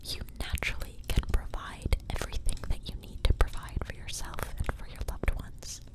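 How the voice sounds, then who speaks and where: A woman whispers in a gentle tone at a moderate pace, with noticeable background noise around her. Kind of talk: ASMR tarot reading. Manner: whispered, soft-spoken, gentle.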